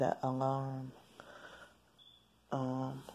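This is a woman with a very deep, low pitch. She speaks quietly. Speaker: vlogger. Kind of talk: video diary. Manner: hushed, quiet; halting, many fillers.

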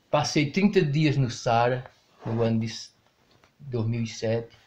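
Somewhat breathy male voice with fairly even intonation. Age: 70s. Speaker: retired truck driver. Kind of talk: interview. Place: home room. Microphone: handheld.

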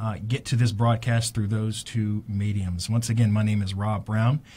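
Somewhat breathy, a man speaks at a moderate pace with fairly even intonation. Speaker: radio show host. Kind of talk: radio show opening monologue. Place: studio. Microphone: studio mic.

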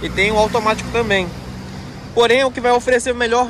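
A man's voice has a dry sound with no echo. Noticeable background noise runs behind it. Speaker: presenter. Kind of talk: casual product walkaround. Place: street. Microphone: phone near.

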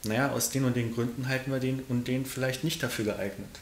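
A man speaks at a fairly quick pace, with audible room echo and light background noise. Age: 30s. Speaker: party state chairman and candidate; interviewee. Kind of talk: interview. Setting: in a room in Giessen. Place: home room.

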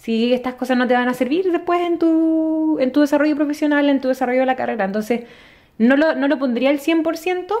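A woman's high voice at a very fast pace, with ordinary pitch variation against a quiet background. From Chile, Santiago; Chile. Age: 20s. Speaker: exchange student; podcast guest. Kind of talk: casual interview. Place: home room. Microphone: studio mic.

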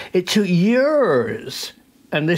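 A man's very slow delivery with lively intonation. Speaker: presenter. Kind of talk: educational commentary. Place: home room.

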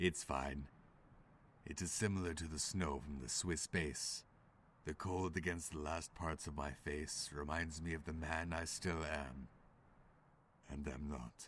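In a put-on character voice, a man speaks very deep and low at a fairly slow pace, with long, frequent pauses. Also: very clean recording, silent background. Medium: fan dub. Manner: quiet, melancholy, reflective.

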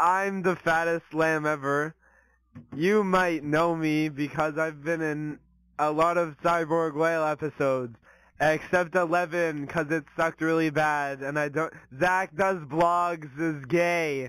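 In a dry recording with no echo and a quiet background, a man speaks fairly slowly in a flat monotone. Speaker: comedic show host. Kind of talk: silly comedic intro skit. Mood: playful, joking, grinning. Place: home room. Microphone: handheld.

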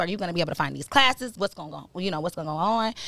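This woman talks at a medium pitch. The sound is dry, with no echo. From Michigan, Ann Arbor; Michigan. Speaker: podcast host. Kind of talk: casual chat. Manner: animated. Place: studio. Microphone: studio mic.

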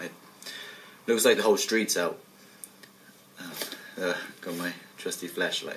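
A nervous tone with light background noise. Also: man. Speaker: actor. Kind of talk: acted found-footage talk to camera. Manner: nervous, hesitant. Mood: uneasy, hushed. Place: home room.

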